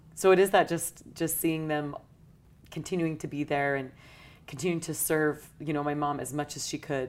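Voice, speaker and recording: In a very clean recording with a silent background, a woman with an American accent speaks in a very deep, low voice with fairly even intonation. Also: moderate pace. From US West, St. George, Utah. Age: 30s. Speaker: churchgoer sharing faith story. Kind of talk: interview testimony. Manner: hesitant with many fillers.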